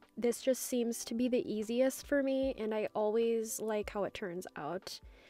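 The woman's pitch is fairly high, with a dark, mellow tone. She moves at a fairly slow pace with ordinary pitch variation. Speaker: press-on nail artist. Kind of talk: work-with-me voiceover tutorial.

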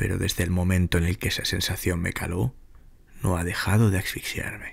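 Speaking at a moderate pace, a man uses a very deep, low voice that is somewhat breathy, with fairly even intonation. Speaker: narrator. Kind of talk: ghost story telling, scripted horror narration. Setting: audio recording with sound design, best heard on headphones. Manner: intimate, directly addressing the listener as a guide.

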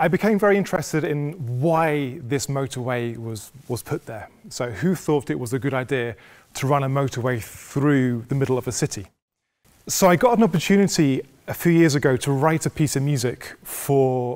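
The background stays quiet. A man speaks at a moderate speed. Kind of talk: lecture. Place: hall. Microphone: lapel.

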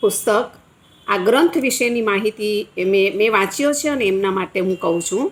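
Fairly high-pitched woman with ordinary pitch variation and noticeable background noise. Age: 60s. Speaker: retired teacher. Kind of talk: book review.

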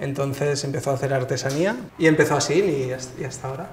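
A man speaks at a fairly quick pace with light background noise behind him. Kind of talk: interview answer. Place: workshop.

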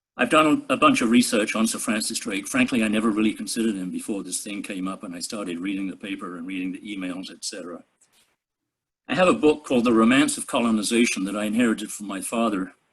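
Speaking with an English accent, a man goes at a very fast pace. His pitch variation is ordinary. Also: medium pitch for a man, big swings in loudness. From England. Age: 80s+. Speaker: resident giving public comment. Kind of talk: public comment at council meeting. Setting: video call.

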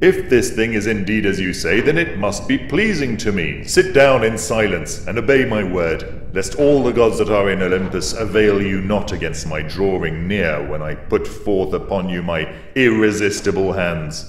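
With a slight echo and clear background noise, a man does a put-on character voice at a fairly low pitch, with hardly any pauses. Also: moderate pace. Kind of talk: epic dramatic reading. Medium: read story. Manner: weighty, commanding, then threatening.

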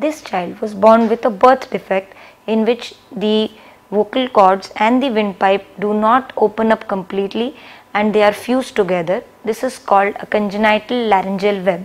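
A woman is speaking at a moderate speed. Her intonation holds fairly level. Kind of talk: medical explainer to camera. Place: office. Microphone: lapel.

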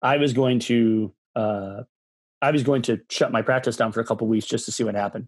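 With a dry sound with no echo and a quiet background, a man with an Upper Midwest accent speaks at a moderate pace. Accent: Upper Midwest American. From Michigan. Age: 40s. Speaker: massage therapist and movement coach; podcast guest. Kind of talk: podcast interview. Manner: intense, extroverted; animated. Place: home room. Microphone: video call.

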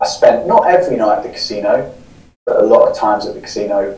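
A man with a southern English accent speaks, and the room echo is audible. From southern England (Newbury, Berkshire); southern England. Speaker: podcaster and recovering gambling addict; interview guest. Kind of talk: interview, personal story. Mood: reflective, candid. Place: home room.

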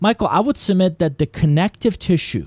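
Speaking with a Persian accent, a man makes very wide pitch swings in a very clean recording with a silent background and a dry, close sound with no echo. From Iran. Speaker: business consultant and author. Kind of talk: interview.

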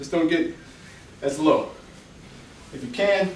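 A man talks at a fairly slow pace amid audible room echo and light background noise. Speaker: home workout instructor. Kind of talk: workout instruction cues. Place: home room. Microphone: camera far.

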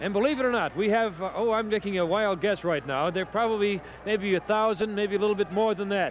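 A man's high voice at a very fast pace, with fairly even intonation, a dry sound with no echo and noticeable background noise. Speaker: TV reporter on location. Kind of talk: live broadcast commentary. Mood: cheerful, light-hearted. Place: street. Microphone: handheld.

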